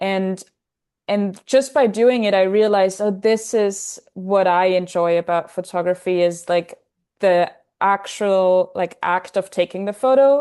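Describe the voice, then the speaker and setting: A woman with a German accent speaks in a dark, mellow tone with ordinary pitch variation. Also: medium pitch for a woman, fairly slow pace, quiet background. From Austria, Salzburg. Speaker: film photographer. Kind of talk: casual chat.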